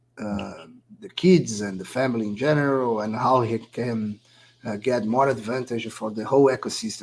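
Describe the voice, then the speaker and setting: This man speaks at a fairly quick pace with a Brazilian accent. His pitch is medium. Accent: Brazilian, non-native English. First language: Portuguese. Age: 40s. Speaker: poker player and esports founder. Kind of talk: casual interview. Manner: halting.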